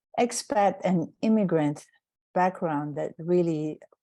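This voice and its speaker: A woman speaks with a non-native accent in a dark, mellow tone. The background is quiet. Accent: foreign. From outside the United States. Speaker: anthropology professor. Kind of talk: panel opening remarks.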